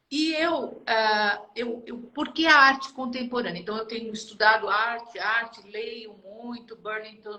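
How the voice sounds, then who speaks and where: Her tone bright and sharp, a woman speaks at a moderate pace with a fairly high pitch and ordinary pitch variation. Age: 70s. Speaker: retired HR director, art student. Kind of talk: interview conversation.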